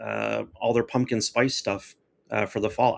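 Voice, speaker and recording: Recorded very cleanly with a silent background, a man talks at a fairly quick pace and a medium pitch. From Florida, US South. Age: 50s. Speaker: livestream host. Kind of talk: casual chat. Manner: animated.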